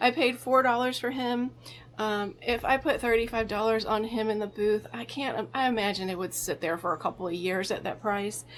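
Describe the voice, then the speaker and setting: In a plain, everyday voice, a woman speaks at a moderate pace, her pitch fairly high with ordinary variation. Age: 50s. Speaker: vintage reseller and antique booth owner. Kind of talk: casual vlog narration of a shopping haul.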